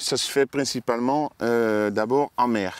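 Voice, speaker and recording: The sound is dry and close, with no echo. A man with a slight Dutch accent talks at a fairly slow pace with ordinary pitch variation. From Netherlands. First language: Dutch (speaking French). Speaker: oyster farmer. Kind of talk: casual interview. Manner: halting, many hesitations.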